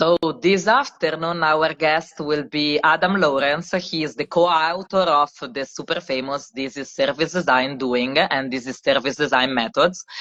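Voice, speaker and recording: Speaking at a moderate pace with an Italian accent, a woman has a very deep, low pitch and ordinary pitch variation. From Italy, Milan. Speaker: service designer and live co-host. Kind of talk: casual live-stream chat. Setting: social media live stream. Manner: hesitant, many fillers.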